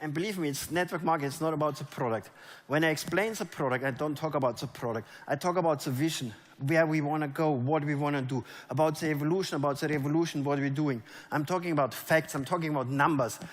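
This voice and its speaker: A man speaks with a German accent at a fairly high pitch and a very fast pace. The recording is very clean with a silent background. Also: ordinary pitch variation. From Germany. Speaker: network marketing leader. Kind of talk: motivational stage talk. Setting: stage with audience. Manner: animated.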